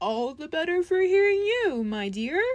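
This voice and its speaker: A woman uses a put-on character voice at an extremely high pitch. She moves at a moderate pace with very wide pitch swings. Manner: sweet, feigning kindness.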